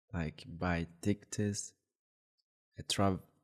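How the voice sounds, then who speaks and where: The man's speech unfolds at a very slow rate. His intonation is fairly even throughout. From Brazilian Amazon. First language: Huni Kuin language. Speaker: apprentice shaman. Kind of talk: interview. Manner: halting.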